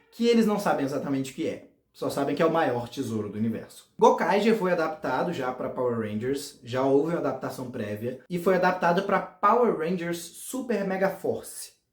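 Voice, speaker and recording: Speaking with a Goiás accent, a man uses a high pitch and lively intonation at a moderate pace. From Goiás, Brazil. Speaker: fan series creator, youtuber. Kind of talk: casual explainer video.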